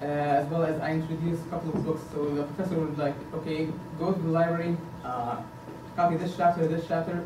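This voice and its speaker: Against noticeable background noise, a man with a fairly high pitch rattles along at a very fast pace in a flat monotone. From Egypt, Giza; Egypt. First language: Arabic. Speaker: PhD student, board candidate; candidate. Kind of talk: candidate speech. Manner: halting, many fillers. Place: meeting room. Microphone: camera far.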